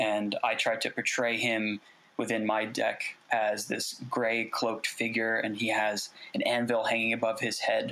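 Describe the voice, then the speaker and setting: A man's bright, sharp voice at a medium pitch, monotone and flat in intonation, fairly slow, with very even loudness. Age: 20s. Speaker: artist. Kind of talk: interview.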